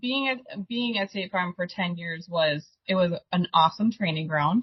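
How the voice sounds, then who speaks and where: Very slowly, a woman talks with a strong Upper Midwest accent and ordinary pitch variation. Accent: Upper Midwest, thick. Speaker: insurance agency owner. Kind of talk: podcast interview.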